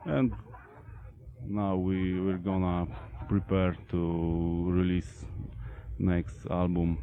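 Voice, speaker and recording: A man's very deep, low voice with a Polish accent, at a very slow pace, with ordinary pitch variation and long, frequent pauses. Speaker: metal band vocalist and bassist. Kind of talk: interview. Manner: halting.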